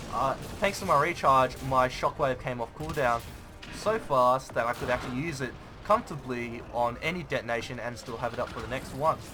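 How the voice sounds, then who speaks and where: Music in the background under a man at medium pitch, fairly quick in pace, with ordinary pitch variation. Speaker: gaming YouTuber. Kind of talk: gameplay commentary tutorial. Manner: fast; casual, halting with fillers.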